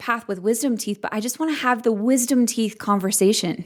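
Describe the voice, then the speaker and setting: A woman talks in an ordinary speaking voice at a fairly high pitch. Her pitch variation is ordinary and her pace moderate. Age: 30s. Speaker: podcast host. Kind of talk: podcast interview.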